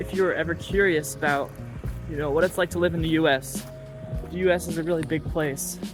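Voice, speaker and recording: This man has an American accent and talks at a moderate pace. Music plays in the background. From New Hampshire, USA. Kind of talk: casual talk to camera. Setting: outdoors.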